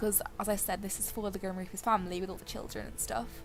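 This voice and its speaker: A woman rattles along at a very fast pace while music plays underneath. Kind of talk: casual gameplay commentary. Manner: casual, self-deprecating.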